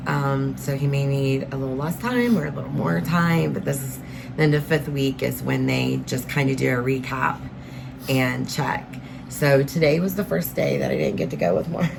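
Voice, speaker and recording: A woman speaks at a moderate pace, her voice carrying audible room echo amid noticeable background noise. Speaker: vlogger caring for husband with cancer. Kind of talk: casual vlog talk to camera. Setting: in a van.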